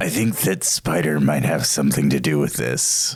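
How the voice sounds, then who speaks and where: Putting on a character voice with a very deep, low pitch, a man speaks at a moderate pace. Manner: flat, tough.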